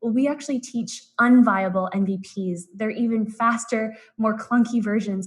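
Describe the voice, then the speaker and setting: This woman has an American accent and a fairly high pitch. Her intonation stays fairly even. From US West Coast, San Francisco Bay Area. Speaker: business consultant presenting a workshop. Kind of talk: live-streamed presentation. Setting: live online stream. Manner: fast.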